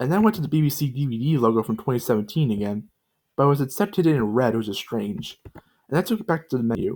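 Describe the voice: The background stays quiet. Over it comes plain reading aloud with lively intonation.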